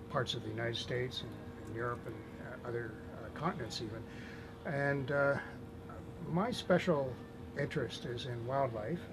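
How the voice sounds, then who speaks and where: A man in a Canadian accent, medium-pitched with ordinary pitch variation, his speech broken by long, frequent pauses over noticeable background noise. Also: moderate pace. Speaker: animal advocate. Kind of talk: interview answer. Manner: soft-spoken.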